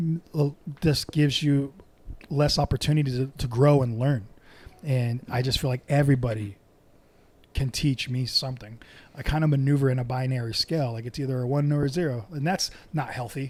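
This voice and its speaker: A man with an American accent speaks fairly quickly with long, frequent pauses, his medium-pitched voice somewhat breathy and his intonation fairly even. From Southern California. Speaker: podcast guest. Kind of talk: casual chat.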